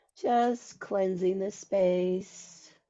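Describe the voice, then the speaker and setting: This woman's voice has a medium pitch. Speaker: podcast host. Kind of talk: casual chat; guided ritual.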